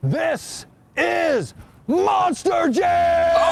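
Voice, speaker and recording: Shouting in a put-on character voice at an extremely high pitch. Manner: hyped announcer.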